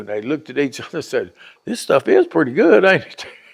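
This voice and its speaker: A man talks with a Southern US accent. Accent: Southern US rural. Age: 70s. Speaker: interviewee telling life story. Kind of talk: oral history interview. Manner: casual storytelling.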